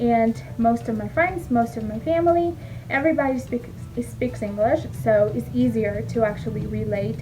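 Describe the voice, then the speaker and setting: Over music in the background, a woman talks at a moderate pace, with audible echo from the room. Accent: Spanish. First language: Spanish. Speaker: former teacher and mom vlogger. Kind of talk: casual vlog talk to camera. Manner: hesitant, many fillers.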